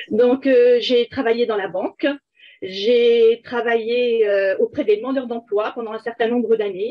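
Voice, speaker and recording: A woman's fairly high voice at a fairly slow pace, with fairly even intonation. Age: 60s. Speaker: life coach. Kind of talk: interview. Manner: hesitant, many fillers.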